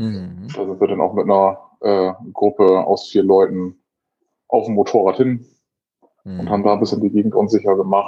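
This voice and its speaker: Fairly low and monotone, a man's voice stays flat at a moderate pace. Long, frequent pauses break it up. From northern Germany, North Sea coast near Wilhelmshaven. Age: 30s. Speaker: motorcyclist and father. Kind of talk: casual chat.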